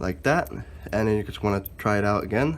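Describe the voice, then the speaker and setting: Here a man speaks with a fairly low pitch. His delivery keeps a moderate pace. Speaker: car DIY hobbyist. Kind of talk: casual DIY tutorial talk to camera.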